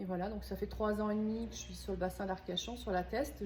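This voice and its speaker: This is a woman speaking. Room echo is audible. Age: 50s. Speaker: organic shop owner. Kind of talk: interview. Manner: halting, many hesitations.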